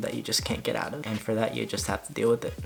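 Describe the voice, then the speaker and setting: Noticeable background noise runs under a man's fairly low voice. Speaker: college freshman. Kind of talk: casual talk to camera. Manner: monotone.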